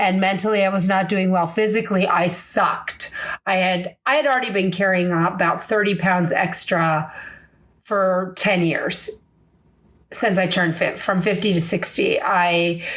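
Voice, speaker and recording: Through audible room echo, a woman speaks at medium pitch and a moderate pace, keeping her loudness very even. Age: 60s. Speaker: podcast host. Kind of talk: casual podcast monologue. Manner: animated.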